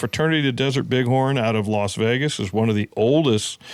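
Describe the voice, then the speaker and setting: With an American accent, the speaker has an unremarkable speaking voice, talking at a fairly quick pace with ordinary pitch variation. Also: man. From California. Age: 60s. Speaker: conservation organization executive. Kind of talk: podcast interview.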